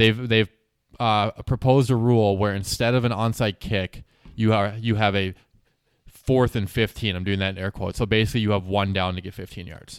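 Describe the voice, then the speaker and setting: In an ordinary speaking voice, a man talks at a fairly quick pace with fairly low pitch and fairly even intonation, the sound dry and close with no echo on a very clean recording with a silent background. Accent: American. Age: 20s. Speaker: podcast co-host. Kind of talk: casual chat.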